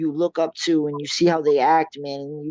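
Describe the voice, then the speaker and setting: In a normal speaking voice with an American accent, a man talks at a fairly quick pace, his pitch fairly high and his intonation fairly even, in a dry, close recording with no echo. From Massachusetts, US. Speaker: MMA fighter. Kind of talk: interview.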